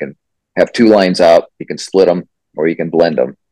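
A man with a Midwestern American accent at a fairly quick pace, in a dry, close sound with no echo. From rural southwest Iowa. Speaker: singer-songwriter. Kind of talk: casual interview. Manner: halting, many fillers.

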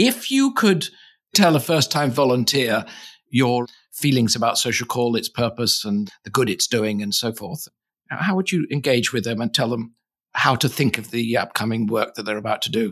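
The speaker has a plain, everyday voice, with ordinary pitch variation and a moderate pace. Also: man, medium pitch for a man. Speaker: podcast host.

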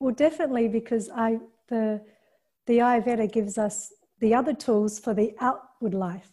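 A woman speaks at a moderate pace in a fairly high, dark, mellow voice. It is somewhat breathy, with fairly even intonation. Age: 50s. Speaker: yoga teacher and filmmaker. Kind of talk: interview.

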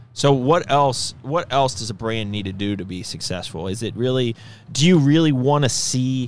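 An animated tone from a man at medium pitch, with lively intonation, big swings in loudness and a moderate pace. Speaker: podcast host and company executive. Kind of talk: casual chat. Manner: animated, joking.

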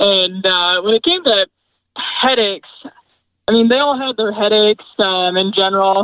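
A woman uses a plain, everyday voice, medium in pitch, at a moderate pace with ordinary pitch variation and very even loudness. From Michigan. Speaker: agronomist. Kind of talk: interview. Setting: in a parked truck in the field.

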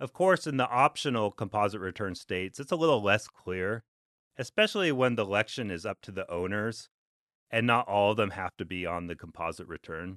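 An ordinary speaking voice with an American accent, lively intonation and a fairly quick pace, over a quiet background. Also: man, fairly low pitch for a man. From Alaska. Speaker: tax lawyer. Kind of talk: podcast monologue. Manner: conversational.

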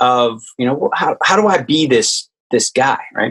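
With an American accent, a man speaks at a very slow pace with lively intonation, in a dry, close sound with no echo. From US South, Richmond, Virginia. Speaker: army veteran, meditation nonprofit founder. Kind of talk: interview.

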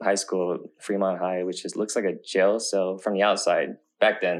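A man's fairly low, monotone voice with flat intonation, an American accent and a moderate pace, over a quiet background. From US West Coast, Oakland. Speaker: filmmaker and content creator. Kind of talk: casual interview.

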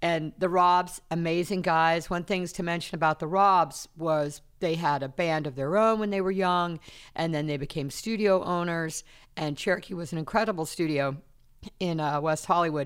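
A normal speaking voice from a woman, fairly low-pitched, moderately paced and fairly even in intonation, on a very clean recording with a silent background. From US South, South Carolina. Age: 60s. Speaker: podcast host, studio manager. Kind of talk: casual interview. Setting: recording studio.

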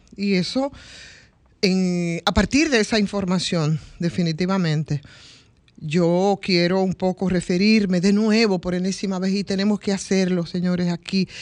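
Speaking at a fairly slow pace, a woman uses an unremarkable speaking voice with medium pitch and ordinary pitch variation. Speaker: radio panelist. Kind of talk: radio talk show discussion.

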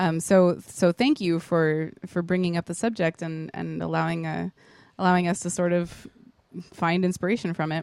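In a dry, close sound with no echo, a woman with an unremarkable speaking voice talks at a moderate pace, her fairly low pitch held in fairly even intonation. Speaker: podcast co-host. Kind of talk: casual banter podcast chat. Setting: bedroom home recording.

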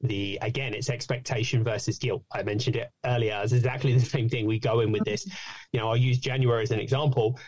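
A man's very fast, somewhat breathy speech with fairly even intonation. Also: medium pitch for a man. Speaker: fitness coach and podcaster. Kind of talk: casual interview chat.

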